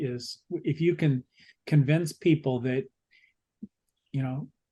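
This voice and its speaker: Speaking very slowly, a man uses a somewhat breathy, fairly high voice with ordinary pitch variation. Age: 60s. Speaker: book club discussion leader. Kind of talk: book club discussion.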